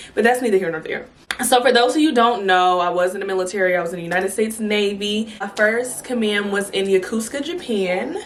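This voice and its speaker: Against noticeable background noise and audible room echo, a woman talks very fast in an animated tone, her medium pitch showing ordinary variation. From California. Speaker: YouTuber, Navy veteran. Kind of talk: storytime vlog. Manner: animated, casual.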